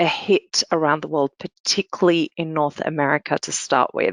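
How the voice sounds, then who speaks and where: In an Australian accent, a woman speaks with a very deep, low pitch. Her intonation is monotone and flat, against a quiet background. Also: dry, close sound with no echo. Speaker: security analyst. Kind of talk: panel Q&A answer.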